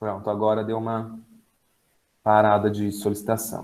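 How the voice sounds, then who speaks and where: A man's speech carries audible room echo. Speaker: special education teacher and university lecturer. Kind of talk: lecture. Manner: fast.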